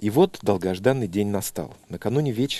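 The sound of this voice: The voice heard is an unforced reading voice.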